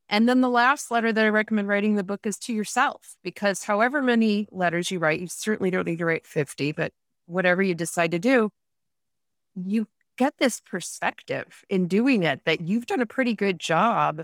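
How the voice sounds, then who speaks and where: A plain, everyday voice from a woman with an American accent, medium pitch, ordinary pitch variation and a moderate pace, in a very clean recording with a silent background. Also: dry, close sound with no echo. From upstate New York, Rochester area. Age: 50s. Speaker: author and podcaster. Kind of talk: casual interview.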